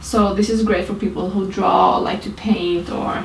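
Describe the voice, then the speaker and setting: A woman's medium-pitched, monotone, flat delivery at a fairly slow pace, with audible room echo and noticeable background noise. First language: not English (English is third language). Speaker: beauty blogger. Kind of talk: tutorial. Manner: hesitant, with fillers.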